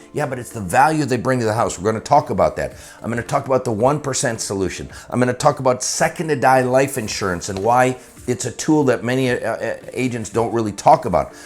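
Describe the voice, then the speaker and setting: This man talks very fast in an animated tone, his medium pitch showing ordinary variation. Noticeable background noise runs underneath. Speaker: insurance sales trainer. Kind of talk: promotional pitch for a course.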